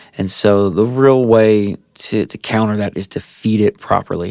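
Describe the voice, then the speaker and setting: Recorded dry and close with no echo, a man with an American accent talks in a normal speaking voice at medium pitch, his intonation fairly even. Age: 30s. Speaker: lawn care professional. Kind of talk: casual tutorial monologue. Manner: relaxed with frequent fillers and repetitions.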